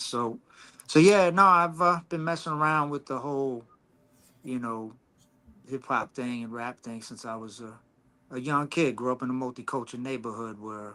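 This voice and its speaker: A man with an American accent, medium pitch and a bright, sharp tone, at a moderate pace with ordinary pitch variation, big swings in loudness and long, frequent pauses, in a very clean recording with a silent background. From Long Island, New York. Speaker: hip hop artist. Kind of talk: casual chat.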